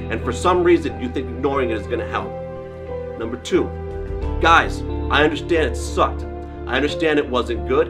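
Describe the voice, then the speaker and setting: A man talks at a fairly quick pace. Clear music plays in the background. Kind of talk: direct-to-camera monologue. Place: gym.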